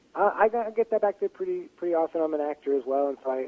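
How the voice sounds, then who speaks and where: Noticeable background noise accompanies a man who talks at a fairly quick clip. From Pittsburgh area, western Pennsylvania. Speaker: playwright and actor. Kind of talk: interview. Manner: halting, many fillers.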